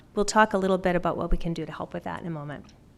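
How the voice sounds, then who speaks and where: Over a silent background on a very clean recording, a woman with a slight Canadian accent speaks with ordinary pitch variation. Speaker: pediatric dentist. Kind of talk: conference talk. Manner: fast.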